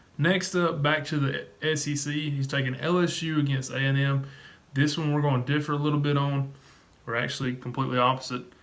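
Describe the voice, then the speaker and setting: Amid noticeable background noise and audible room echo, a man with a fairly high pitch speaks at a fairly quick pace in a monotone, flat intonation. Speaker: sports betting YouTuber. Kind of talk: sports picks video monologue. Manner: fast.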